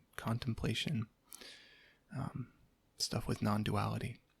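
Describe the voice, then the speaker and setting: A soft-spoken man with vocal fry talks at medium pitch and a fairly slow pace. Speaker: ASMR creator. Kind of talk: casual talk to camera.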